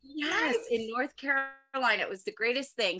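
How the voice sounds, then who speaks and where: A woman's lively intonation over music in the background. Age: 40s. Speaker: stand-up comedian and former teacher. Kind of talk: casual chat. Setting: video call.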